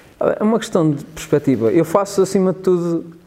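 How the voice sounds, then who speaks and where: He speaks with a European Portuguese accent in a dark, mellow tone. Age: 30s. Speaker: multimedia worker and stand-up comedian. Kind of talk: casual interview chat.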